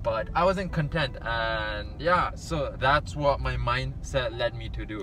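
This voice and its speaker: Faint music sits in the background as a man speaks with a dry sound and no echo. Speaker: medical student vlogger. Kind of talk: casual vlog chat. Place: car. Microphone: phone near.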